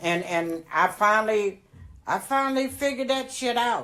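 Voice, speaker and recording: A woman's animated, fairly slow delivery with lively intonation in a very clean recording with a silent background. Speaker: grandmother storyteller. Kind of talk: storytelling.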